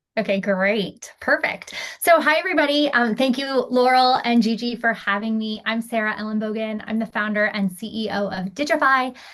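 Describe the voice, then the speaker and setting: A woman talks at a moderate pace with hardly any pauses, her pitch fairly high and its variation ordinary. Noticeable background noise sits behind her. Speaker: startup founder. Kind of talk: startup pitch.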